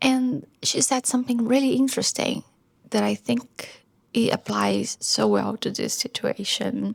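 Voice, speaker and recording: Here a woman is soft-spoken. She talks at a fairly slow pace. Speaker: vlogger and musician. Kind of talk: casual vlog talk. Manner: soft-spoken, quiet.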